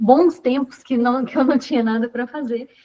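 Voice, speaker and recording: A woman's high pitch with ordinary pitch variation, at a moderate pace. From Brazil, Belo Horizonte. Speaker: singer-songwriter. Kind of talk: storytelling in an online panel talk.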